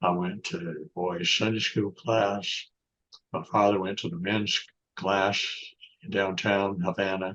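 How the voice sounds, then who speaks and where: A man talks at a very slow pace. He has a Southern US accent. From US South, North Florida. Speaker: author and lawyer. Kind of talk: interview conversation. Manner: halting.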